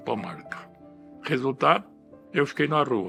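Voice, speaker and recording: Music plays in the background as a man talks at a moderate pace with lively intonation. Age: 80s+. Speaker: retired property registrar. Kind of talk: interview answer.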